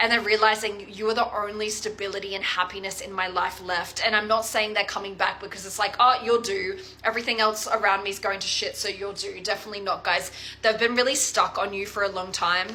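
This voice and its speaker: The speech moves at a fairly quick pace with hardly any pauses, over noticeable background noise. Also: woman, medium pitch for a woman. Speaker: tarot reader. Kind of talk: tarot reading to viewers. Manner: casual, animated; halting, repeats words.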